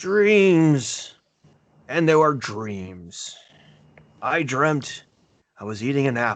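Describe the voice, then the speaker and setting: In a put-on character voice with a fairly high pitch, a man speaks at a very slow pace, leaving long, frequent pauses. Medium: actual play. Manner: gentle, friendly.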